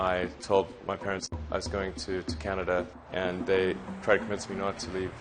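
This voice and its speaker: A man speaks at a moderate pace in a very deep, low voice with monotone, flat intonation. Music plays in the background. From South Africa. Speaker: entrepreneur. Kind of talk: interview answer.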